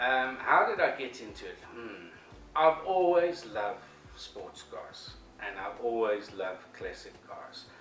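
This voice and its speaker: A man with a slight South African accent talks at a fairly slow pace, with big swings in loudness. Music plays in the background, and the room echo is audible. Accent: English with a South African tinge. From England, long years in South Africa. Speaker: business owner. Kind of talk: interview answers. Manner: hesitant, with fillers and repeats.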